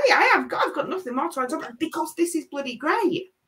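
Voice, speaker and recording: With a strong Leeds accent, a woman speaks fairly quickly in an extremely high pitch and a bright, sharp tone. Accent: strong Leeds accent, remarked on as common. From northern England, Leeds. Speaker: interview guest. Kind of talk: casual interview chat.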